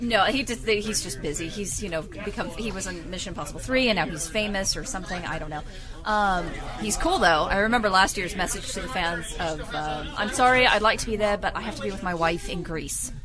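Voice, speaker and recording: Over crowd noise in the background, a woman talks at a fairly quick pace in a medium pitch with ordinary pitch variation. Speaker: podcast guest, comic-con attendee. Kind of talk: casual chat. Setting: in-store studio recording.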